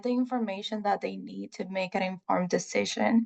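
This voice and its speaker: The background is quiet as a woman speaks with a Puerto Rican accent. Her pitch is medium and her pace moderate. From Puerto Rico. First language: Spanish. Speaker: research scientist. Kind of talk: presentation. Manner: halting, many fillers.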